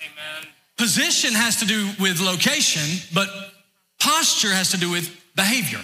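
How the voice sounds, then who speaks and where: A raised, projected voice from a man with an American accent, high pitch and lively intonation. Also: moderate pace. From US South, north Georgia. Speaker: pastor. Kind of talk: sermon. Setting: church.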